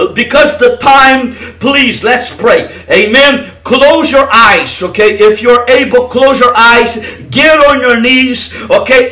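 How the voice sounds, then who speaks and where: A man speaks in a raised, projected voice at an extremely high pitch. His pace is very slow, with ordinary pitch variation. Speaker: evangelist leading online deliverance prayer. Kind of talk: fervent deliverance prayer, commanding and declaring. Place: home room. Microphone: headset.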